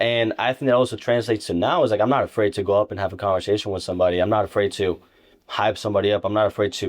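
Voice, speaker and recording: A man with a Spanish accent, a fairly low pitch, ordinary pitch variation and a very fast pace. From Ibiza, Spain, then Nebraska from age 12. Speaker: insurance agent. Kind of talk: casual interview. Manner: energetic.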